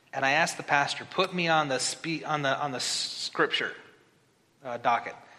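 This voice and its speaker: Noticeable background noise beneath ordinary pitch variation. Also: man. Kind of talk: sermon. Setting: church. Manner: fast talker.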